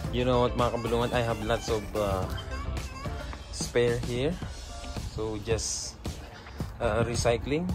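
A man at a fairly slow pace, with long, frequent pauses and clear music in the background. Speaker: DIY vlogger. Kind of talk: casual vlog chat. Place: garden. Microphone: phone near.

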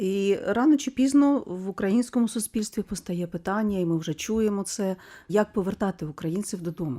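On a very clean recording with a silent background, a woman speaks at a moderate pace. Her voice is dark and mellow, medium in pitch, with ordinary pitch variation. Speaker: radio host. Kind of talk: radio interview.

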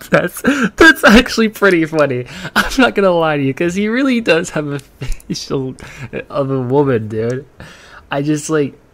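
Very wide pitch swings at a moderate pace. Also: man. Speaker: reaction streamer. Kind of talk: casual reaction commentary. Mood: amused, laughing while talking. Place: home room.

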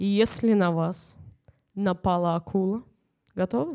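Very slowly, a woman talks. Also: very clean recording, silent background. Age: young. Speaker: humor writer. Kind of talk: reading aloud. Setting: stage with audience.

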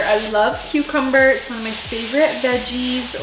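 With faint music in the background, a woman speaks at a fairly high pitch with ordinary pitch variation.

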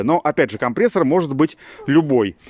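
The delivery moves at a fairly quick pace with lively intonation, the sound dry with no echo. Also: man. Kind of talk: tutorial. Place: garden. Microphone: phone near.

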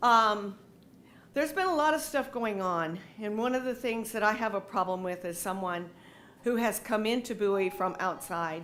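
A woman speaks at a fairly slow pace in a fairly high pitch. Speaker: resident making public comment. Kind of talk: public comment. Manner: loud.

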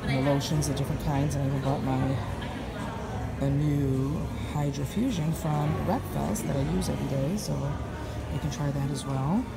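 A woman speaks with long, frequent pauses against loud background noise. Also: moderate pace. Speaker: direct sales representative. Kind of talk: casual talk to camera. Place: hall. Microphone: phone near.

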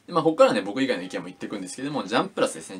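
A man talks with very wide pitch swings. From Japan. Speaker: YouTuber reviewing manga. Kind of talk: casual monologue review. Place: home room. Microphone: phone near.

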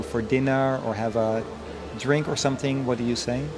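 A man at a moderate pace with monotone, flat intonation, over noticeable background noise. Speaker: interviewer. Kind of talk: interview questions.

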